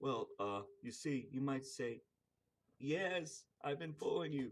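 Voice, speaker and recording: A squeaky, put-on character voice from a man, fairly high in pitch, with fairly even intonation and a fairly slow pace. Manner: shy, stammering.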